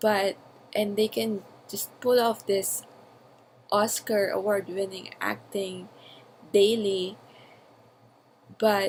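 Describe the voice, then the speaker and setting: A woman with a non-native accent speaks at a medium pitch and a very slow pace, in monotone, flat intonation. Long pauses come often. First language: not English. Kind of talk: personal audio journal, spontaneous talk. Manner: hesitant, with fillers.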